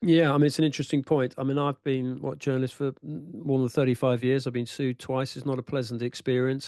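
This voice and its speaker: A man with an English accent talks very fast, with hardly any pauses, in a dark, mellow tone at a medium pitch. His intonation stays fairly even, and the sound is dry and close with no echo. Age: 60s. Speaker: football writer. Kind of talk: panel discussion.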